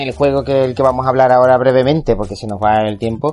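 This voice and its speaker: A man is speaking. Music plays in the background. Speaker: video game podcast host. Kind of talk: casual chat.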